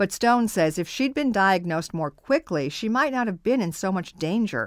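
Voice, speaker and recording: Very wide pitch swings at a moderate pace on a very clean recording with a silent background. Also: woman, medium pitch for a woman. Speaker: radio broadcaster. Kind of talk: radio health news narration.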